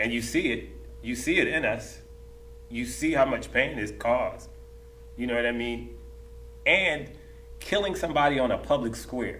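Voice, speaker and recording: A man at a moderate pace with long, frequent pauses, amid audible room echo and noticeable background noise. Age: 50s. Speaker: dancer. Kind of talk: panel discussion. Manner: animated; repetitive, stammering restarts.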